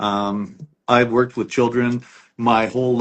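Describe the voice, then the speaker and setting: This man has an unremarkable speaking voice, with medium pitch, fairly even intonation and a fairly slow pace. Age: 50s. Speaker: lawyer. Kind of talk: interview. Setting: livestream.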